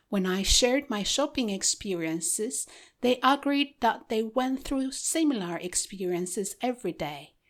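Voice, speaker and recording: A woman with an Ethiopian accent, fairly high in pitch, with very wide pitch swings, at a moderate pace, on a very clean recording with a silent background. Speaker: podcast host and author. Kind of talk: reading aloud.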